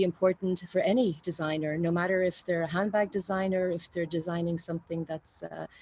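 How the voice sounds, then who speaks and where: In an Irish accent, a woman speaks with monotone, flat intonation at a moderate pace and fairly low pitch, with hardly any pauses. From Ireland. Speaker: university design representative. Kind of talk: conference talk. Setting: video call from a balcony. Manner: halting, many fillers.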